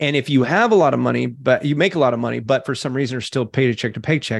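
Against a quiet background, a man talks at a very fast pace with vocal fry. His pitch is medium, with ordinary variation. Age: 40s. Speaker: digital marketing entrepreneur. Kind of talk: interview.

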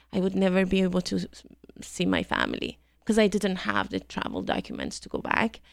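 In a Persian accent, a woman talks at a fairly quick pace on a very clean recording with a silent background. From Iran. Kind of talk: casual interview. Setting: studio.

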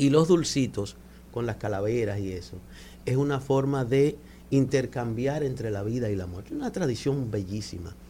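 Here a man speaks at a medium pitch in a dark, mellow tone. His voice is somewhat breathy, with ordinary pitch variation. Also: moderate pace. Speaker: cultural manager. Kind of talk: radio interview. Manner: soft-spoken. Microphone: too far from the mic.

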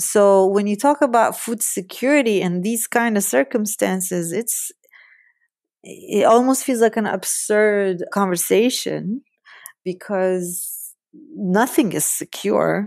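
On a very clean recording with a silent background, a woman speaks very slowly at a medium pitch, her pitch varying in an ordinary way. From Palestine. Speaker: seed conservationist and storyteller. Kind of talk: interview.

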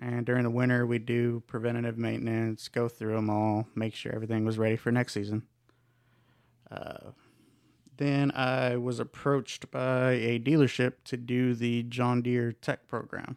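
The sound is dry and close with no echo as a man speaks at a medium pitch. His pace is moderate, and his intonation is monotone and flat. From north Texas, born in Mexico. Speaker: agricultural equipment technician. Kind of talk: casual chat.

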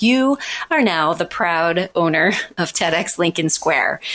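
The voice is an unremarkable speaking voice. It keeps a moderate pace. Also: woman. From Missouri, US Midwest. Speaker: public speaking coach and event organizer. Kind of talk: interview.

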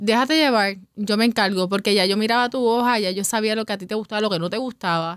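A woman speaks in a normal speaking voice with fairly high pitch and ordinary pitch variation, at a fairly quick pace. The recording is very clean, with a silent background. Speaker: bar owner. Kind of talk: interview conversation.

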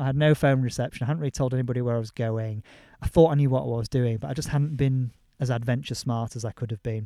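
A man with a Yorkshire accent speaks very fast at a medium pitch, his tone dark and mellow. The recording is very clean, with a silent background and a dry, close sound with no echo. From Yorkshire, northern England. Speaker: former lawyer turned mountain leader. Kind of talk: interview. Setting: outdoors on a hillside.

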